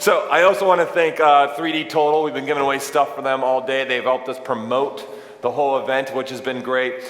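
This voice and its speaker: A man at a fairly quick pace and fairly high pitch, with audible room echo and noticeable background noise. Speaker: event host. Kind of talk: live event presentation. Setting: stage with audience. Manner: animated.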